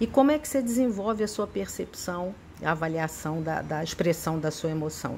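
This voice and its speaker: A somewhat breathy woman talks at a moderate pace, her pitch swinging very widely. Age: 60s. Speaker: psychotherapist teaching a spiritist study. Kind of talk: lecture.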